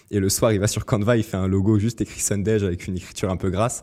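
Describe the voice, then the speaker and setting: A man talks very fast in a fairly low voice. His tone is dark and mellow. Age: 20s. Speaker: student entrepreneur. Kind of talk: interview.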